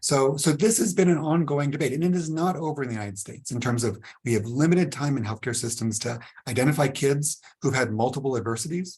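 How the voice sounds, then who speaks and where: This man talks at a very fast pace in a fairly high pitch, with ordinary pitch variation and a somewhat breathy quality. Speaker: trauma researcher and clinician. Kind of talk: webinar presentation. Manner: animated, engaging.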